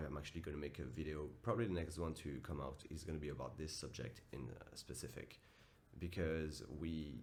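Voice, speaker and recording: A man speaks at a fairly quick pace with a very deep, low pitch and vocal fry. Audible room echo surrounds his voice. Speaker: self-improvement vlogger and coach. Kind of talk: motivational vlog monologue. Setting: at home early morning. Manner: casual, direct.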